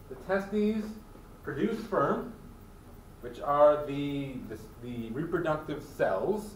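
A man with an American accent and a high pitch speaks at a very slow pace with long, frequent pauses, lively intonation and big swings in loudness. Audible room echo and light background noise come through. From Michigan. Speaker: college biology instructor. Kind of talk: lecture. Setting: classroom with students. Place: classroom. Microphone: camera far.

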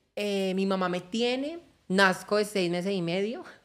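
With lively intonation, a woman speaks at a medium pitch and a fairly slow pace. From Colombia, Valle del Cauca. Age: 20s. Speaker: social media content creator. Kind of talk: personal testimony interview. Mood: reflective, personal life story. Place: studio. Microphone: studio mic.

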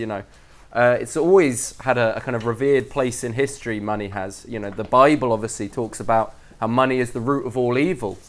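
The speaker is a man. He keeps a fairly quick pace, and his pitch shifts in an ordinary way. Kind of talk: lecture. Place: hall.

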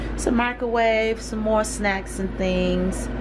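There is noticeable background noise as a woman speaks at a fairly slow pace. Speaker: hemp farmer and vlogger. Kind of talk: casual vlog. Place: home room.

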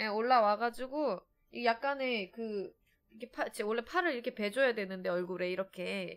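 Moderate-paced speech in a Seoul accent, with ordinary pitch variation and a quiet background. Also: woman, fairly high pitch for a woman. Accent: Seoul Korean. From Seoul, South Korea. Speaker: game streamer. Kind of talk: casual chat. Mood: relaxed, chatty. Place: home room. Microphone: studio mic.

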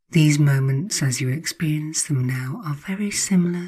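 Very slowly and in a calm, soothing tone, a woman speaks at a very deep, low pitch, somewhat breathy. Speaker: hypnotherapist. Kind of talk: guided hypnosis. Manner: slow, soothing; calm, hypnotic, repetitive phrasing.

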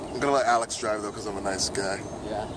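A man speaks at a fairly quick pace, with loud background noise. The sound is dry, with no echo. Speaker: vlogger. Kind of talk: casual vlog chat. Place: street. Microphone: phone near.

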